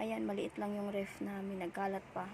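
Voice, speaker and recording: This woman's voice sits at a medium pitch. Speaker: vlogger, sari-sari store owner. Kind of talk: casual vlog tour. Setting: inside a roadside store.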